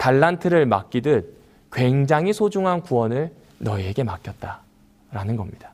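Very wide pitch swings from a man on a very clean recording with a silent background. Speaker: pastor. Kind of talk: sermon.

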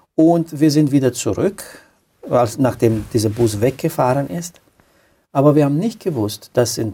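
Speaking with a Romanian accent, a man has a medium-pitched, somewhat breathy voice with a dark, mellow tone. His intonation is lively. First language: Romanian (speaking German). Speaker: pastor. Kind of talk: testimony. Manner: halting.

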